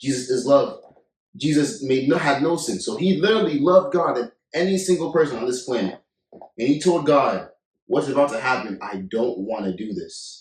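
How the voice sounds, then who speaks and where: A man speaks at a fairly high pitch. His voice makes very wide pitch swings. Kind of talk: casual chat. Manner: fast.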